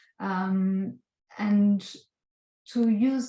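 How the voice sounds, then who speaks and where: A woman with a strong non-native accent speaks at a medium pitch in a dark, mellow, somewhat breathy tone. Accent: strong foreign. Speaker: visual artist. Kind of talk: artist talk presenting slides. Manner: halting, many filler sounds.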